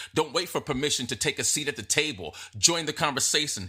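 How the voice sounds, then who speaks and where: Animated and bright, sharp in tone, a man speaks with lively intonation in a very clean recording with a silent background. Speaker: podcast host. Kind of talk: motivational podcast monologue.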